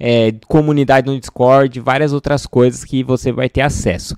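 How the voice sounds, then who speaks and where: Speech moves at a moderate pace with ordinary pitch variation. The sound is dry with no echo, over a quiet background. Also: man. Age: 30s. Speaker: data scientist and educational YouTuber; data career educator. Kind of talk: sales pitch; casual tutorial to camera.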